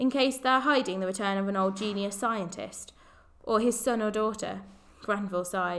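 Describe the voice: Someone does plain reading aloud. Pitch variation is ordinary.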